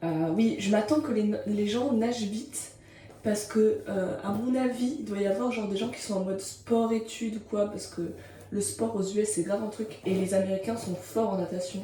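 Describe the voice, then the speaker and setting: With ordinary pitch variation, the voice comes through audible room echo and noticeable background noise. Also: woman, medium pitch for a woman, moderate pace. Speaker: vlogger. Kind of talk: casual vlog monologue. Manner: energetic, animated.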